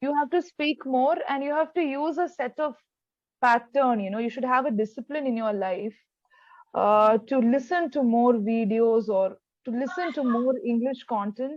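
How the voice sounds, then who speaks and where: A woman speaks with a Keralan accent and a high pitch. Her pitch variation is ordinary. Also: moderate pace. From India, Kerala. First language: Malayalam. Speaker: English tutor. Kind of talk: online tutoring conversation.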